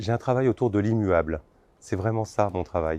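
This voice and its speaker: A man speaks with a dark, mellow tone. The pace is moderate. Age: 50s. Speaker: designer and sculptor. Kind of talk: interview. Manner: halting, many filler words.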